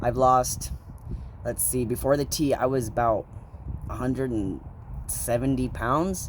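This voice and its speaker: A man leaves long, frequent pauses in his fairly slow speech, with noticeable background noise throughout. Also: medium pitch for a man, fairly even intonation. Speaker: vlogger. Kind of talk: casual vlog. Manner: casual, filler-heavy, halting.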